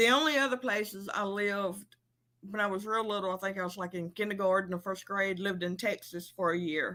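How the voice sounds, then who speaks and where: A woman speaks with an Alabama accent. Her pitch is medium and her pace fairly quick. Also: ordinary pitch variation. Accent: Alabama accent, recognizable. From Alabama, US South. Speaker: livestream host. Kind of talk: casual chat. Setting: livestream.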